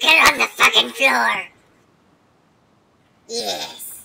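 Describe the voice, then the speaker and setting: A raspy, female-sounding put-on character voice at medium pitch. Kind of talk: casual gameplay talk. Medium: role play. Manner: mocking, playful.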